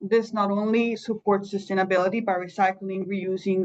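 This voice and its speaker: At a moderate pace, a woman uses a plain, everyday voice at a medium pitch with fairly even intonation. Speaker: employer coach. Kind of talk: presentation.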